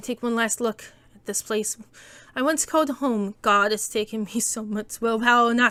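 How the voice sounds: It is a natural reading voice. The intonation stays fairly even.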